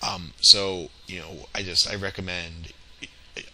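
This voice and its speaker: With noticeable background noise behind him, a man speaks in a very deep, low pitch and a monotone, flat intonation. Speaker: tech tutorial instructor. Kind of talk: tutorial. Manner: halting, many fillers; casual.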